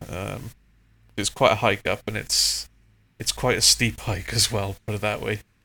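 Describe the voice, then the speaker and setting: Speaking in a Welsh accent at a moderate pace, a man leaves long, frequent pauses in a very clean recording with a silent background. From Wales, South Wales. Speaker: aviation photographer. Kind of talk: casual interview chat.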